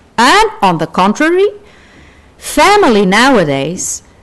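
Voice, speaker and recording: This woman has a fairly high pitch and a Portuguese accent. She speaks at a very slow pace. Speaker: sociologist, conference speaker. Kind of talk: academic conference talk. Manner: halting, with fillers.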